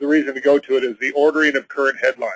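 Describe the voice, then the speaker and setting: This man speaks with a fairly high pitch. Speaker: web software developer presenting on a tech call. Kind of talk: technical presentation on conference call. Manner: fast.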